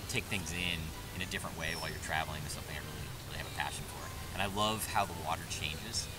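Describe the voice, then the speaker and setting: A man speaks very fast with clear music playing in the background. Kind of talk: interview answer. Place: open country.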